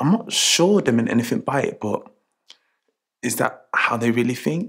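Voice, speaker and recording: A man talks at a moderate pace. Nothing much sounds behind him. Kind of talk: scripted monologue to camera, training film. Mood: reflective, uneasy. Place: shop.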